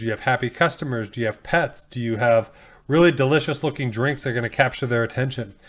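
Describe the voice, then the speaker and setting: A man has an ordinary speaking voice at a medium pitch, talking at a fairly quick pace with ordinary pitch variation on a very clean recording with a silent background. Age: 40s. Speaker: coffee shop owner and podcast host. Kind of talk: solo podcast tutorial. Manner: casual, with frequent fillers.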